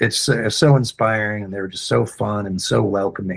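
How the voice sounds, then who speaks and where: A man of medium pitch, somewhat breathy, at a moderate pace. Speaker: tabletop game master. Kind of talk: casual interview chat. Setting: live stream. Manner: halting.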